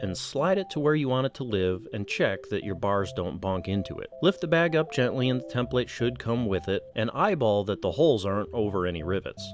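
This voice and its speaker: Over music in the background, a man with a medium-pitched voice talks at a fairly quick pace, his pitch swinging very widely. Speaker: motorcycle vlogger. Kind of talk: tutorial. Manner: fast.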